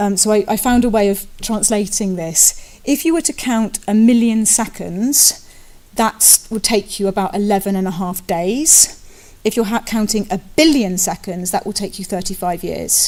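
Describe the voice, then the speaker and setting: At a moderate pace, a woman speaks in a dark, mellow tone at a medium pitch, with ordinary pitch variation. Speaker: conference speaker. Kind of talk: conference talk. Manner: hesitant, many fillers.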